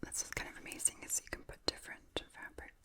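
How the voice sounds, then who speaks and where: Whispering at a moderate pace, a woman comes through noticeable background noise. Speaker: puppet maker. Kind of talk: ASMR show and tell. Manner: whispered.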